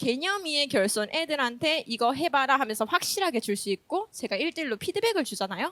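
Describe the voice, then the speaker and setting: A woman's bright, sharp voice with very wide pitch swings, a fairly quick pace, and a dry, close sound with no echo. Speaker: elementary school teacher. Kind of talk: conference presentation. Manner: fast when nervous; humorous, lively.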